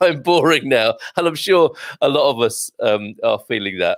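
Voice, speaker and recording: A man speaks with a British accent. His voice sounds dry and close, with no echo. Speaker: radio host. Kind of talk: casual chat. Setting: live online show.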